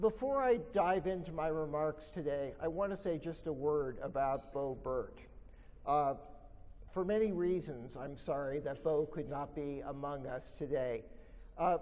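The man's pace is fairly slow, and his pitch varies in an ordinary way. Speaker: professor giving a talk. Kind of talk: lecture. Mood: solemn tribute then expository. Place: hall. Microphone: podium.

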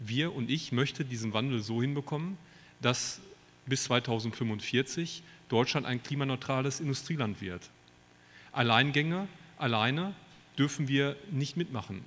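A moderate pace, ordinary pitch variation and long, frequent pauses. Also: man. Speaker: politician, Bundestag candidate. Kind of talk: poetry slam speech. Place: hall. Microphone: handheld.

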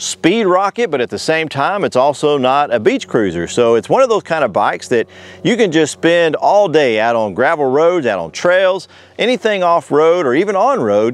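The pitch swings very widely as the man speaks. The sound is dry, with no echo. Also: moderate pace. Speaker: bike reviewer. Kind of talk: product review talk to camera. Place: open country. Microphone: lapel.

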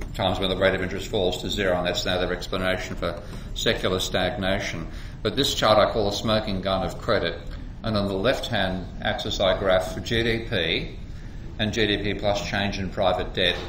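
A man speaks at a fairly low pitch and moderate pace with monotone, flat intonation. Light background noise and audible room echo are present. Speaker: economics lecturer. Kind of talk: lecture. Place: office. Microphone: webcam.

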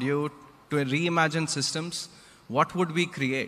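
The speaker is a man. Ordinary variation shows in his pitch. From India. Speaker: nonprofit founder; guest. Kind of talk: public talk. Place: hall. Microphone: podium.

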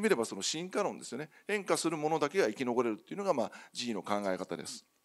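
Over a quiet background, a man talks at a very fast pace with very wide pitch swings. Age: 50s. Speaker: company CEO; speaker. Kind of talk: conference keynote presentation. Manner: formal. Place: hall.

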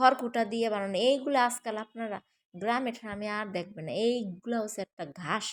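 In a very clean recording with a silent background, the sound is dry and close with no echo. A woman speaks in a fairly high, animated voice with ordinary pitch variation. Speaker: vlogger. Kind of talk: casual vlog narration.

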